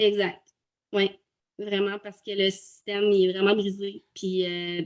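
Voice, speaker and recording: A woman's medium-pitched voice with a Quebec accent, at a fairly slow pace. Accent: Québécois French. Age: 30s. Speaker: virtual assistant, former teacher. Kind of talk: testimony interview. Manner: halting, many hesitations.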